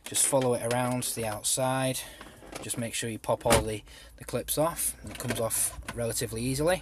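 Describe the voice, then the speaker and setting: Intonation stays fairly even here. The speaker is a man with an English accent. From England. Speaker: car DIY video maker. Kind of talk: tutorial. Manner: casual, with many fillers.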